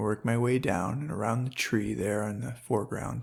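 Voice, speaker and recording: Speaking at a moderate pace with vocal fry, a man comes through on a very clean recording with a silent background. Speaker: hobby painter and angler, channel owner. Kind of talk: painting tutorial narration.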